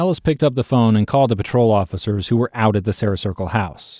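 A man speaks very fast at a medium pitch, with a dark, mellow tone and ordinary pitch variation. The recording is very clean, dry and close, with a silent background and no echo. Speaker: podcast host and narrator. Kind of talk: scripted narration.

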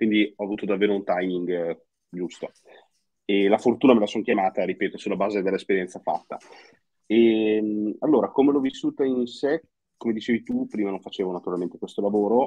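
Speaking at a fairly quick pace but with long, frequent pauses, a man uses a fairly low pitch with ordinary pitch variation. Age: 20s. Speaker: crypto and personal finance content creator. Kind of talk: casual chat.

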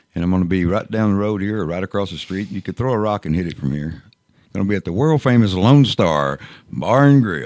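A man speaks in an ordinary speaking voice at a fairly quick pace, pitched fairly low, with lively intonation. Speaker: radio co-host. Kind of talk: casual radio chat.

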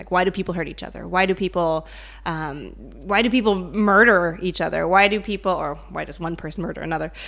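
A woman with a North American accent talks at a fairly quick pace in a fairly low voice with vocal fry. Her intonation is fairly even, though her loudness swings widely. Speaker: psychologist and author. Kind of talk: casual interview.

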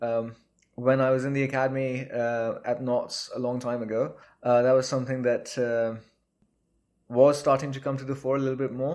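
A man's medium-pitched, monotone, flat voice at a moderate pace. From Pakistan (Balochistan, Karachi). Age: 20s. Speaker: professional cricketer. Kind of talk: interview.

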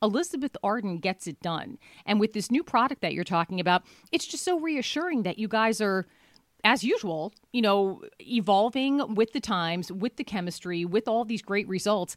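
In a dry, close recording with no echo, a woman speaks at a moderate pace with a fairly high pitch and lively intonation. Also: very clean recording, silent background. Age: 50s. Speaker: radio talk show host. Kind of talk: casual radio talk and interview. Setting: studio. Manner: animated.

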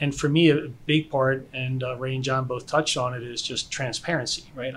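Speaking at a moderate pace in a medium pitch, a man with an American accent has an unremarkable speaking voice. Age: 50s. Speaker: IT consultant and investor. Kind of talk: casual chat.

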